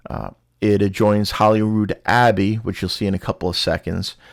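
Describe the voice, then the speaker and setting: In a New York accent, a man talks at a fairly quick pace and a fairly low pitch on a very clean recording with a silent background. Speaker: travel vlogger. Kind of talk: travel vlog narration. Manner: casual, many fillers.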